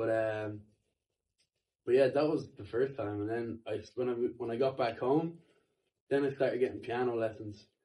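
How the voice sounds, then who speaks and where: Long, frequent pauses break up fairly even intonation at a moderate pace. The tone is dark and mellow, with an Irish accent. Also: man, medium pitch for a man. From Ireland. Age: 20s. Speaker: musician. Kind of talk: casual chat.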